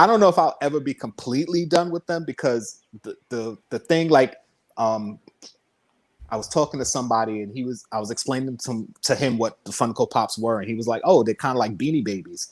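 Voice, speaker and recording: Speaking fairly quickly, a man uses an unremarkable speaking voice at medium pitch with lively intonation. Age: 40s. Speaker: YouTuber and toy collector. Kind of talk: casual chat.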